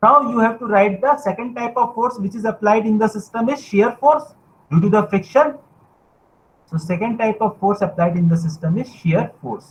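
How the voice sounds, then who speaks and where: A man with an Indian accent speaks at a moderate pace. His pitch is high, with ordinary variation. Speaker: university lecturer. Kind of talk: lecture.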